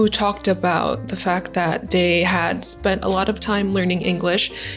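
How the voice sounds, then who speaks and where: A woman speaks at a medium pitch with a Vietnamese accent and fairly even intonation. Her pace is moderate, with music playing in the background. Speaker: English tutor. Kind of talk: casual educational talk to camera.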